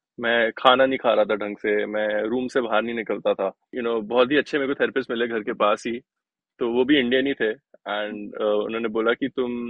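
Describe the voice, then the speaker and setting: The voice is a man's, at a medium pitch. He keeps a moderate pace with monotone, flat intonation. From Delhi, India. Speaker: sitar player and music producer. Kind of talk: interview. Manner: halting, many fillers.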